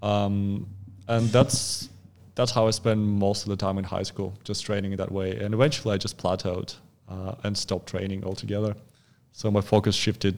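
A man with a Russian accent talks at a fairly low pitch in a monotone, flat way, in a very clean recording with a silent background. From Russia, Far East (Khabarovsk). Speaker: fitness coach. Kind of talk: casual chat. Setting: studio.

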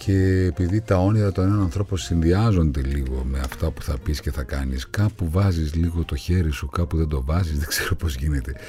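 At a moderate pace with hardly any pauses, a man speaks in a very deep, low pitch over noticeable background noise. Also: ordinary pitch variation. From Greece, Thessaloniki (Pontic Greek roots). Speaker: actor. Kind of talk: interview. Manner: animated.

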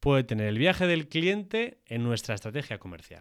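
At a moderate pace, the voice moves through very wide pitch swings on a very clean recording with a silent background. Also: man. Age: 30s. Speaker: podcast co-host on industry, tech and sales. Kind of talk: casual chat and explanatory discussion.

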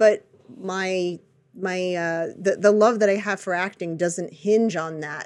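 A woman speaks in an ordinary speaking voice, medium in pitch, at a fairly slow pace with fairly even intonation. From United States. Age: 40s. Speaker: podcast host and actress. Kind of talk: casual chat.

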